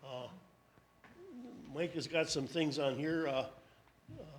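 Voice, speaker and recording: A man with an American accent and a fairly high pitch speaks in a monotone, flat intonation, with audible room echo. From US Midwest, Door County, Wisconsin. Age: 80s+. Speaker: panelist sharing school memories. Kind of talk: public talk, memoir. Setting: town hall with audience.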